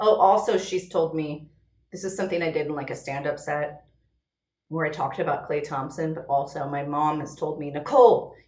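Animated in tone, a woman talks at a very deep, low pitch, with audible room echo around her. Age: 30s. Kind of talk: casual chat.

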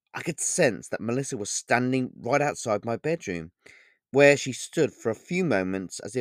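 A natural reading voice with lively intonation, set against a quiet background.

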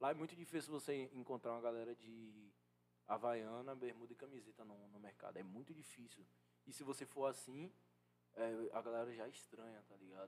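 A man's medium-pitched, unremarkable speaking voice at a fairly quick pace, with big swings in loudness. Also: ordinary pitch variation. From Brazil, Salvador (Bahia). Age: 20s. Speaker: fashion model. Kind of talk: casual interview chat.

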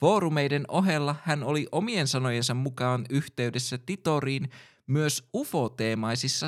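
A man of medium pitch talks at a very slow pace in a very clean recording with a silent background. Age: 20s. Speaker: podcast host. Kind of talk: scripted narration.

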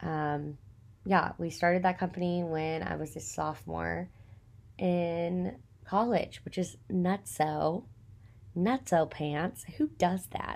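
With a Texan accent, a woman speaks very slowly in a fairly low voice with lively intonation, in a very clean recording with a silent background. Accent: Texan (US Southern). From Texas. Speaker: podcast host and small business owner. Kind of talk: casual solo monologue. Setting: recording at home in apartment. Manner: chatty, many fillers and laughs.

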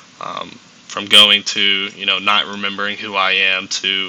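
Against noticeable background noise, a man with a Southern US accent speaks at a fairly low pitch. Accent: Southern American. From US South, Augusta, Georgia. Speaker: college baseball player. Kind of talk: casual interview.

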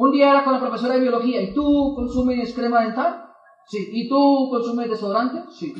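With audible room echo, a man talks at a moderate pace in an extremely high pitch and fairly even intonation. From Colombia, Boyacá. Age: 20s. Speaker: network marketing motivational speaker. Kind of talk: motivational talk.

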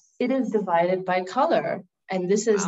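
Her pace is moderate. This woman has a medium pitch and ordinary pitch variation. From Canada, Middle Eastern family. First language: not English. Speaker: former English teacher abroad. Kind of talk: casual chat. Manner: friendly, laughs often.

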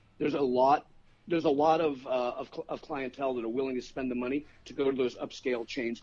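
Speaking at a fairly quick pace with an American accent, a man has an unremarkable speaking voice and a fairly high pitch. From Chicago. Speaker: food writer. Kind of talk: casual chat. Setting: phone call.

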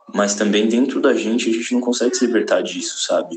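A man with a medium-pitched voice speaks with audible room echo. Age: 20s. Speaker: actor sending voice message. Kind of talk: recorded voice message.

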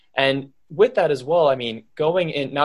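A man's voice against a quiet background. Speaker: podcast co-host. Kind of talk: podcast interview.

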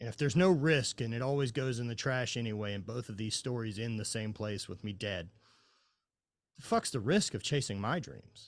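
A man with a Southern US accent speaks at a medium pitch and a fairly quick pace. His pitch varies in an ordinary way, and the background is quiet. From Louisiana, US South. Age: 40s. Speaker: former highland games athlete, mindset coach. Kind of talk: casual chat.

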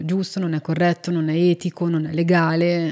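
A woman's fairly low, dark, mellow voice at a moderate pace, on a very clean recording with a silent background. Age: 40s. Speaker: zoologist and wolf expert. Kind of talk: casual interview chat.

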